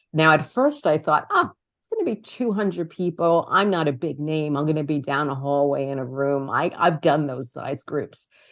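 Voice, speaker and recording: Over a quiet background, the speaker talks with hardly any pauses. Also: woman, very deep, low pitch for a woman, ordinary pitch variation, moderate pace. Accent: New York. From New York City (Brooklyn, Queens). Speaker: author and communication coach. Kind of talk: interview.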